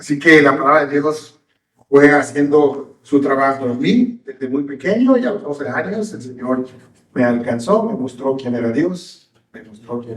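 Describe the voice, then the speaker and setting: In a Yucatecan accent, a man speaks at a fairly slow pace with a fairly high pitch and lively intonation. His loudness swings widely, and audible room echo is present. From Mexico, Yucatán (Mérida). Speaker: pastor. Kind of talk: sermon.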